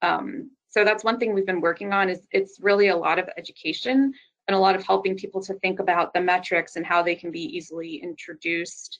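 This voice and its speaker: A woman with a normal speaking voice of medium pitch talks at a fairly quick pace in an American accent with ordinary pitch variation. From US South, southern Louisiana. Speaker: architect and sustainability director. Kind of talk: interview.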